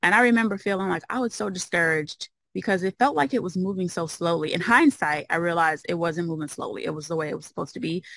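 A woman with an American accent and a fairly low pitch races at a very fast pace with lively intonation and hardly any pauses, against a quiet background. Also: dry sound with no echo. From US Midwest, Chicago. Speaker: occupational therapist and mobile home investor; interview guest. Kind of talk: interview. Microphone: video call.

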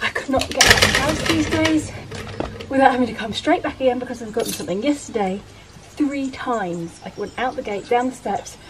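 Through noticeable background noise, a woman speaks at a fairly quick pace. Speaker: vlogger. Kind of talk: casual vlog chat. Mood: amused, self-deprecating. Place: garden. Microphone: camera far.

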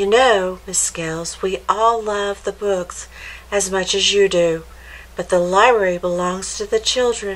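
Natural-voiced reading aloud

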